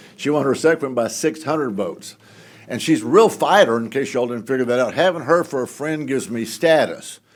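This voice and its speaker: A fairly high-pitched man with a Texan accent, fairly quick pace and ordinary pitch variation. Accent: Texan Southern US. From Southeast Texas (Houston area). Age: 70s. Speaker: congressman. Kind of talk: speech. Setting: stage with audience. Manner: folksy, joking.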